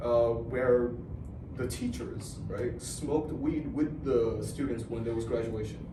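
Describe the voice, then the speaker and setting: Against noticeable background noise and audible room echo, a man with an American accent talks at a fairly slow pace, medium in pitch with fairly even intonation. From Philippines. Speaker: interview guest. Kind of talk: casual chat. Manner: halting.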